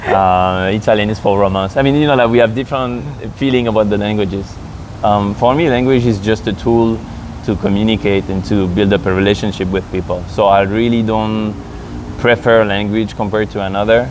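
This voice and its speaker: Fairly quick speech in a French accent, fairly even intonation, and noticeable background noise. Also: man, fairly low pitch for a man. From France. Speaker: expat interviewee. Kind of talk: casual interview.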